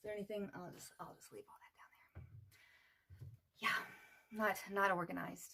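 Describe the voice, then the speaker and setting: Soft-spoken and fairly quick, a woman talks with long, frequent pauses and big swings in loudness. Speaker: beauty vlogger. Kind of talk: makeup tutorial. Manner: casual, hesitant.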